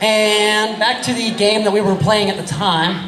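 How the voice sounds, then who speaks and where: A man speaks with audible room echo while a crowd murmurs in the background. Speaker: improv show host. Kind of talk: stage hosting to audience. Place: hall. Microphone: pa.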